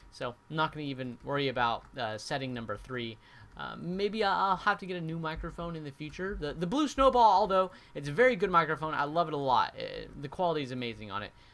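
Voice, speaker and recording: Talking at a very fast pace, a man with a fairly high pitch makes very wide pitch swings and big swings in loudness. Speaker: gaming YouTuber. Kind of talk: gaming commentary. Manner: quiet when not edited; hesitant, many fillers.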